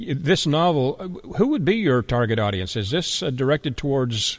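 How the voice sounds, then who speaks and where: A man speaks at a moderate pace in a normal speaking voice. His intonation is lively. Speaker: radio host. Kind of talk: interview.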